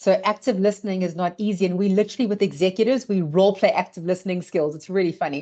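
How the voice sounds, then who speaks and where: At a very fast pace with hardly any pauses, the dark, mellow tone moves with ordinary pitch variation. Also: woman, medium pitch for a woman. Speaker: leadership trainer and consultant. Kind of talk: webinar presentation.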